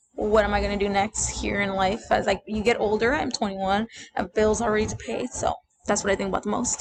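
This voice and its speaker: A woman talks at a fairly quick pace in a Spanish accent. Her voice is fairly high-pitched with vocal fry. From United States, Salvadoran family. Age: 20s. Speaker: college student. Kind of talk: class presentation. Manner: casual, with many fillers.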